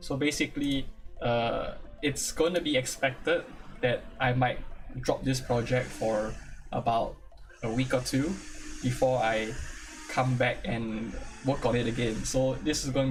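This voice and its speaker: A man speaks at a moderate pace and medium pitch, his intonation fairly even. Long, frequent pauses break his speech over noticeable background noise. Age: young. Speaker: VTuber live streamer. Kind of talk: casual live stream tutorial. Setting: live stream. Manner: halting, many fillers and repetitions.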